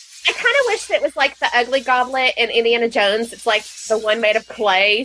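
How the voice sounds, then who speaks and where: Speech runs at a fairly quick pace with hardly any pauses and fairly even intonation. Noticeable background noise sits behind it. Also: woman. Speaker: podcast co-host. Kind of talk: casual chat.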